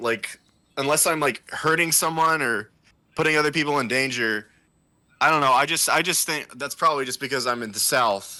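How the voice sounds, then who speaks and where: A man speaks loudly in a fairly high pitch with a bright, sharp tone. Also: ordinary pitch variation, moderate pace, very clean recording, silent background. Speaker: podcast co-host. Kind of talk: casual chat.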